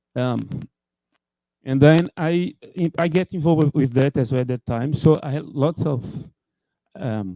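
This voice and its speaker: Speaking at a fairly slow pace with long, frequent pauses, a man with a Portuguese accent has a fairly high pitch, a dark, mellow tone and ordinary pitch variation, captured with a dry, close sound with no echo. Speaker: computer scientist. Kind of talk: conference talk. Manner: halting.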